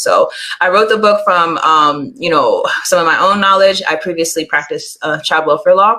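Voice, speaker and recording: Noticeable background noise sits behind this woman. She talks at a fairly quick pace in an American accent. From Pittsburgh, Pennsylvania, US. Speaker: lawyer and author. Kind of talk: interview.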